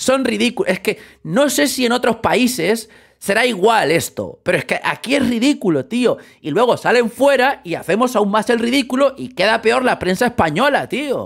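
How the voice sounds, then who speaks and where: This man's pitch is extremely high, with ordinary variation, and he speaks at a moderate pace. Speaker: football YouTuber. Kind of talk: casual commentary vlog. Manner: animated.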